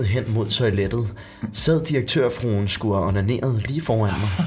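A man speaks at medium pitch and a fairly slow pace while music plays in the background. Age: 20s. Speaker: actor. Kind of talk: casual chat, reading aloud.

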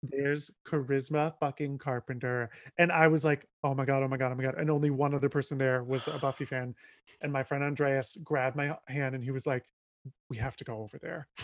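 At a fairly quick pace, the voice comes through in a dry, close sound with no echo, in a very clean recording with a silent background. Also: man, fairly high pitch for a man. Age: 20s. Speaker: comedian. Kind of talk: casual chat. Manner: animated.

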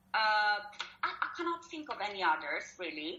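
A woman speaks fairly slowly with an Italian accent. Her pitch swings very widely. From Italy. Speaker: publishing marketing assistant. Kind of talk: interview. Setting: Skype call. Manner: hesitant, many fillers.

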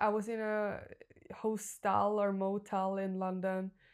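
A woman in a Norwegian accent at medium pitch, on a very clean recording with a silent background. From Norway. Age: 20s. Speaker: life coach. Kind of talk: interview conversation; guided visualization.

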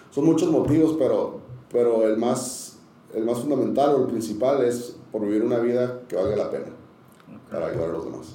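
At a fairly quick pace, a man speaks in a medium pitch with ordinary pitch variation, amid noticeable background noise and audible room echo. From Tijuana, Mexico. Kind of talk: casual interview, testimony.

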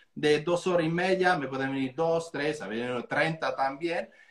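A high-pitched male voice at a moderate pace, with ordinary pitch variation. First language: Italian (speaking Spanish). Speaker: real estate coach and trainer. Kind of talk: casual interview on an Instagram live.

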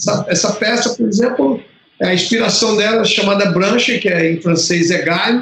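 This man talks at a moderate pace. His voice sits high, with ordinary pitch variation. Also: very even loudness. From Brazil, Piauí and Fortaleza (Ceará). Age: 50s. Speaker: lighting designer. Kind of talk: interview. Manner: halting, many repetitions.

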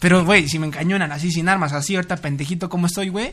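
Against a quiet background, a man with a high pitch talks at a very fast pace with fairly even intonation. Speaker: podcast co-host. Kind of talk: casual chat.

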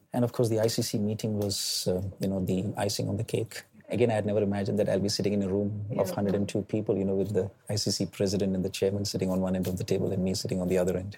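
Over noticeable background noise, a man with an Indian accent speaks very fast in a flat, monotone delivery. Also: fairly low pitch for a man. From India, Delhi. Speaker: tech entrepreneur. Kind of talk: interview. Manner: hesitant, many fillers.

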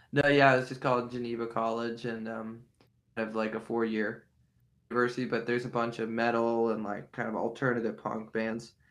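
A man with an American accent at a fairly quick pace, in a monotone, flat intonation. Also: medium pitch for a man. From western Pennsylvania (near Pittsburgh). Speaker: musician. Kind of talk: interview.

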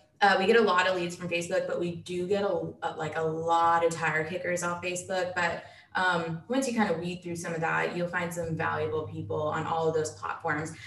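A woman with an American accent speaks at a fairly low pitch with fairly even intonation. Audible room echo is present. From Dallas, Texas. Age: 20s. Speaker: real estate investor. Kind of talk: casual interview.

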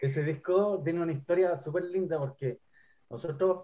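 Speaking at a fairly slow pace, a man with a fairly high pitch has a dark, mellow tone and ordinary pitch variation. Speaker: singer and guitarist. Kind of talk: interview.

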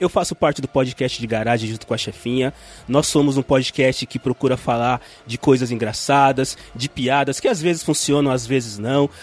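Over noticeable background noise, a man talks at a moderate pace in a medium pitch with fairly even intonation, the sound dry and close with no echo. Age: 40s. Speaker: podcaster. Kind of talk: casual chat.

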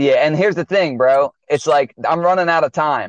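A man talks in a plain, everyday voice at a moderate pace, with a fairly high pitch and ordinary pitch variation. The sound is dry and close with no echo, against a quiet background. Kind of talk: casual banter podcast chat. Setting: remote call with weaker audio.

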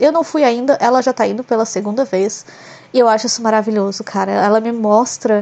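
Her pitch is fairly high and her intonation fairly even. The woman speaks at a fairly quick pace. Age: 20s. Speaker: podcaster. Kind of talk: casual solo monologue.

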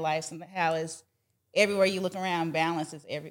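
Speaking with an American accent at a fairly quick pace, a woman with a fairly low pitch keeps a flat, monotone intonation in a very clean recording with a silent background. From Texas and Georgia (Dallas, Atlanta). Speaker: food safety entrepreneur and children's author. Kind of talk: interview.

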